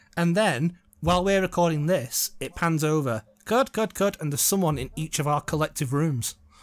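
A man with an English accent, fairly high pitch, lively intonation and a moderate pace. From England. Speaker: film commentary podcast co-host. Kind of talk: casual chat.

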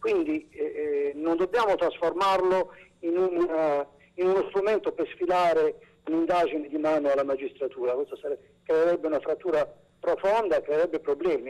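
Keeping very even loudness, a man speaks at a moderate pace. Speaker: regional environment councillor, interviewee. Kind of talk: formal political interview. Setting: phone or remote link. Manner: hesitant, formal, self-correcting.

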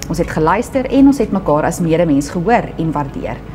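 Music plays behind a woman speaking. Her fairly low pitch swings very widely. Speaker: church announcer. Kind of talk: announcements read to camera. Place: studio.

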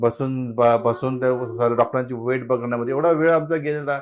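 An ordinary speaking voice from a man, medium in pitch, with ordinary pitch variation. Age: 50s. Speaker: fertility patient. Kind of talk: testimony.

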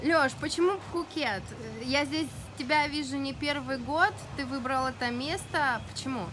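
A woman talks at a fairly slow pace with a high pitch and ordinary pitch variation. Noticeable background noise runs under her voice. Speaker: interviewer at wake park. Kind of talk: interview questions. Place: waterside.

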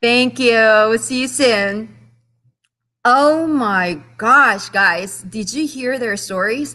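Against a quiet background, a woman speaks very slowly in a bright, sharp tone, her pitch fairly high and her pitch variation ordinary. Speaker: podcast host. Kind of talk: interview conversation. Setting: video call. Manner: enthusiastic. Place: home room. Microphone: video call.

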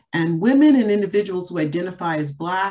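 With ordinary pitch variation, a woman speaks in an unremarkable speaking voice. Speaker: panel moderator. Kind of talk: opening remarks for a webinar panel. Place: home room. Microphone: webcam.

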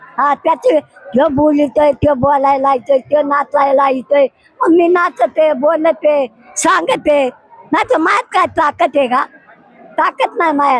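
Against noticeable background noise, a woman with a high pitch keeps her loudness very even and her pitch variation ordinary, in a dry, close sound with no echo. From Shirur, Maharashtra. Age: 80s+. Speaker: warkari pilgrim. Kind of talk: interview answer.

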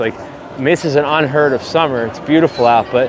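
A man talks at a fairly quick pace. The sound is dry with no echo, though there is noticeable background noise. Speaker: walking tour vlogger. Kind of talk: casual vlog chat. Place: street. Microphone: lapel.

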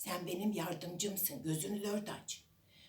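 A passage is read aloud in a natural voice.

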